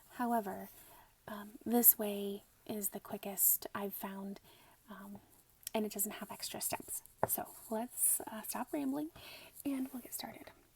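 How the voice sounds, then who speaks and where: This voice is soft-spoken. Its delivery is rather slow. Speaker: quilting instructor. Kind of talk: ASMR sewing tutorial.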